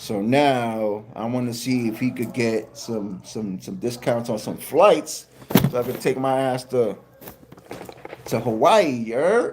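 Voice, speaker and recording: Over noticeable background noise, a man with a New York accent speaks very slowly at a medium pitch with ordinary pitch variation. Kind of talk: casual, informal.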